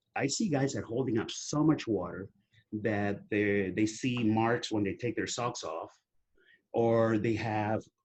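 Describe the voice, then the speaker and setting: A man speaks at a fairly slow pace in an unremarkable speaking voice, with medium pitch and ordinary pitch variation. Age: 60s. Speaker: testosterone therapy advocate. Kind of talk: interview.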